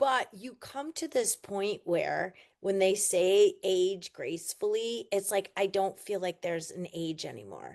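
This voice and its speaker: Against a quiet background, a woman with a normal speaking voice talks at a fairly slow pace with hardly any pauses, at medium pitch and with ordinary pitch variation. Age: 50s. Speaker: sales leader and coach. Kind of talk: interview.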